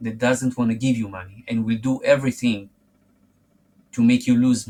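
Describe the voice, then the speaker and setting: Speaking with a non-native accent, the man has a medium pitch. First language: not English. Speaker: forex trading youtuber. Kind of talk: direct-to-camera monologue. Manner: halting, self-repeating.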